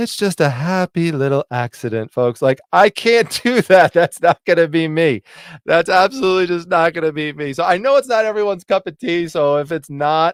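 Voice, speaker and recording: Loud and animated, a man with a high pitch talks at a moderate pace with lively intonation and hardly any pauses, in a dry, close sound with no echo. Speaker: reselling YouTuber. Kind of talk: live stream Q&A chat.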